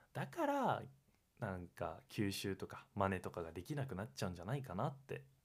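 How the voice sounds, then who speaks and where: The man's voice sits at a fairly low pitch. He talks at a fairly quick pace with lively intonation. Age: 20s. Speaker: podcast co-host, university student. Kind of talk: casual chat; show intro tagline.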